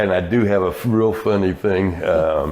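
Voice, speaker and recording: Noticeable background noise sits under a man speaking with an American accent. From US, military family (Texas, Louisiana, etc.). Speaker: retirement community volunteer. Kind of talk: interview.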